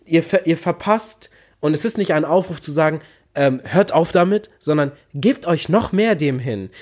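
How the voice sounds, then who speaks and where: Over a very clean recording with a silent background, a man speaks with lively intonation. His pace is fairly slow. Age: 20s. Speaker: podcast co-host, university student. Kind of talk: casual chat. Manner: calm, moderate delivery.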